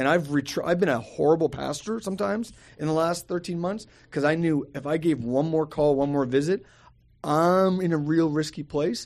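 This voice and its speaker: At a moderate speed comes an ordinary speaking voice. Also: man, fairly high pitch for a man, ordinary pitch variation, quiet background. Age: 40s. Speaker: pastor. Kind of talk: casual chat.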